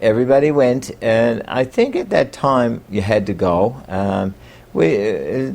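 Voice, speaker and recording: A man's dark, mellow voice in a Newfoundland accent, with ordinary pitch variation. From Newfoundland, Bay Roberts. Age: 60s. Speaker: local storyteller. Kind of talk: oral history interview. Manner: halting, many fillers.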